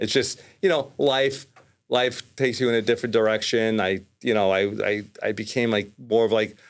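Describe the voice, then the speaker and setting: A man's medium-pitched voice, with ordinary pitch variation and very even loudness. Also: moderate pace. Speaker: mortgage lender. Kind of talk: casual chat.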